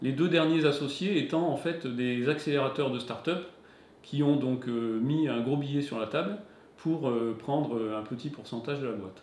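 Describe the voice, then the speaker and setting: A man with a fairly high voice talks at a moderate pace. His pitch varies in an ordinary way, and the room echo is audible. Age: 40s. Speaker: company founder and CEO. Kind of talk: interview. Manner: hesitant, many fillers.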